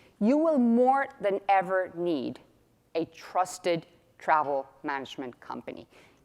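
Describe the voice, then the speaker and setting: An animated woman's voice at a medium pitch, with a Spanish accent. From Mexico, Guadalajara. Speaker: company executive. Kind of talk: keynote presentation. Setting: stage with audience.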